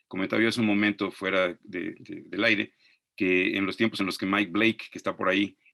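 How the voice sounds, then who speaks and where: Against a quiet background, a man with a Mexican accent talks very fast in a flat monotone, his fairly low voice carrying a bright, sharp tone. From Mexico. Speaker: archaeologist and professor. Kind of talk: webinar lecture.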